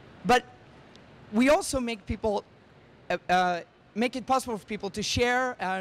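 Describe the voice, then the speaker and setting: A man talks fairly quickly in a Swedish accent. His pitch varies in an ordinary way. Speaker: tech startup founder. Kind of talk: conference presentation.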